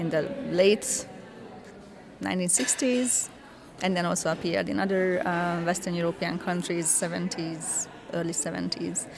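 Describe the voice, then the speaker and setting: Fairly even intonation from a woman, pitched fairly low. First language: Hungarian (speaking German). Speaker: cultural scholar. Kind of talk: interview.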